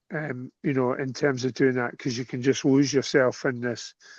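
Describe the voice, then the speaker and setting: Against a quiet background, a man with a Scottish accent speaks in a medium pitch with monotone, flat intonation, in a dry, close sound with no echo. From Scotland. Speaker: cue sport coach. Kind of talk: casual chat.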